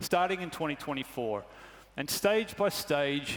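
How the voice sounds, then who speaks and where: A man's fairly high voice with a slight Australian accent, lively intonation and a moderate pace. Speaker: truck company executive. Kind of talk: corporate presentation. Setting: stage with audience.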